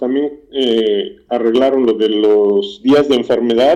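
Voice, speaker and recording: A man's medium-pitched voice with a dark, mellow tone at a very slow pace. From Mexico, Morelos. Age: 50s. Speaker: factory worker. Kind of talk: interview.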